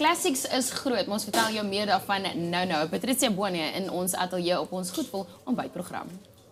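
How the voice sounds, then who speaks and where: Speaking in a South African accent at a fairly quick pace with hardly any pauses, the voice has lively intonation against noticeable background noise. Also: woman, medium pitch for a woman. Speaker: TV breakfast show presenter. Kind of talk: casual chat. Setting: studio.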